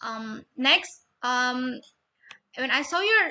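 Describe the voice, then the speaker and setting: A woman's high, raised and projected voice, bright and sharp in tone. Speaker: university student. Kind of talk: spoken peer review of a research proposal.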